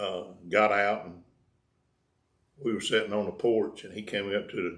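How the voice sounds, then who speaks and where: A man's fairly low voice, fairly slow in pace, with monotone, flat intonation. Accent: North Carolina. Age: old. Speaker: storyteller. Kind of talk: personal life story told casually.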